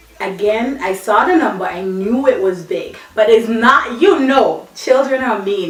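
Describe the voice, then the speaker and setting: With an audible room echo and noticeable background noise, a woman speaks at a moderate pace in a Virgin Islands accent. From British Virgin Islands, Tortola. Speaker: vlogger. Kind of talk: personal vlog, casual storytelling.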